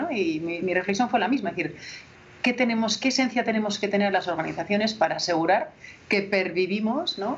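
A woman with a medium-pitched voice talks with lively intonation while noticeable background noise runs underneath. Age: 40s. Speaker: HR director and author. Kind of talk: interview.

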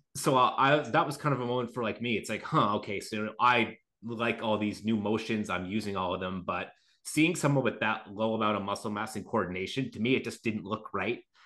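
A man talks at a fairly quick pace in a bright, sharp tone. His pitch is medium, with ordinary variation. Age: 30s. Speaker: natural bodybuilder and podcast co-host. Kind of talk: casual chat.

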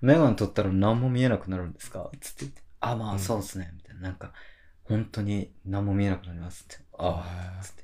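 In a very clean recording with a silent background, a man talks at a very fast pace, fairly low in pitch with ordinary pitch variation. His voice is somewhat breathy with a dark, mellow tone and big swings in loudness. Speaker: freelance writer, podcast co-host. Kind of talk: casual chat. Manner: boisterous, laughing a lot.

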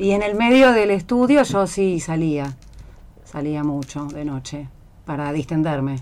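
Her pitch very deep and low, a woman talks at a fairly slow pace with lively intonation. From Buenos Aires, Argentina. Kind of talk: casual chat.

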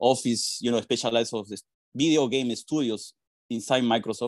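A man with a Spanish accent talks at a fairly quick pace and medium pitch, with a dry, close sound, no echo and a quiet background. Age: 40s. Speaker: PR and communications professional. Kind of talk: interview.

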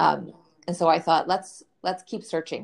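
This woman has a Canadian accent, a fairly low pitch and vocal fry. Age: 30s. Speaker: financial educator and coach. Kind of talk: interview conversation. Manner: clear and confident.

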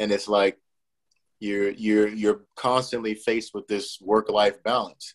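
Fairly low and monotone with flat intonation, a man's voice moves at a fairly slow pace in a dry, close sound with no echo. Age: 30s. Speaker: soccer coach and former player. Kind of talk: casual interview. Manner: halting, many fillers.

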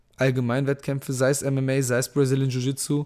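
A man with a plain, everyday voice speaks at a moderate pace and a fairly high pitch. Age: 30s. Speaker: podcast host and MMA fighter. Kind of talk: live Q&A monologue. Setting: Instagram live stream. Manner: casual, many fillers.

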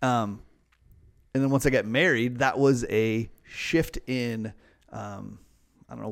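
The speaker uses a normal speaking voice. Pitch varies in an ordinary way. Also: man. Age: 30s. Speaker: podcast co-host. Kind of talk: casual chat.

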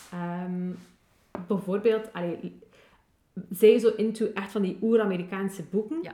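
At a fairly slow pace, a woman speaks at medium pitch with fairly even intonation, big swings in loudness and long, frequent pauses. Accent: West Flemish. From West Flanders, Belgium. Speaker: podcast co-host. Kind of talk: casual chat.

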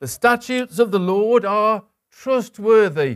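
The speaker is a man. The sound is dry and close, with no echo. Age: 60s. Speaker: preacher. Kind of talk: sermon. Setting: church.

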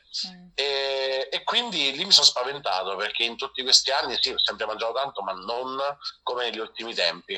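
A man of medium pitch at a fairly quick pace, with lively intonation, big swings in loudness and noticeable background noise. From central Italy, province of Viterbo. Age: 30s. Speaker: cook. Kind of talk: interview.

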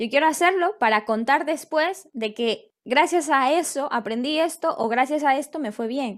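The intonation is lively and the pace fairly slow, with hardly any pauses. The recording is very clean, with a silent background. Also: woman, high pitch for a woman. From Ecuador. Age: 20s. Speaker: life coach. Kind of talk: interview conversation. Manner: halting, with frequent repetitions.

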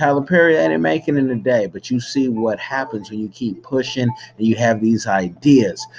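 A man speaks at a moderate pace and medium pitch with lively intonation. It is a normal speaking voice. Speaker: filmmaker. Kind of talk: casual vlog-style announcement.

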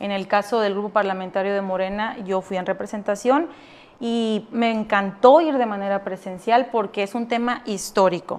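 Over a quiet background, a woman speaks in a normal speaking voice at a moderate pace, with a medium pitch and ordinary pitch variation. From Mexico, Sonora (Navojoa). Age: 20s. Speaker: politician. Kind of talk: interview.

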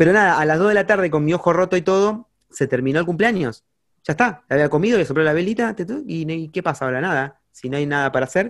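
At a very fast pace, a man talks in a fairly high pitch with lively intonation. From Argentina, Campana (Buenos Aires province). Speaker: singer-songwriter and music teacher. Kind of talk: casual interview chat. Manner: halting, many fillers and repetitions.

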